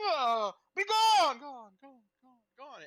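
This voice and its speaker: Putting on a character voice, a man makes very wide pitch swings. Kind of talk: theatrical, commanding. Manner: booming, menacing.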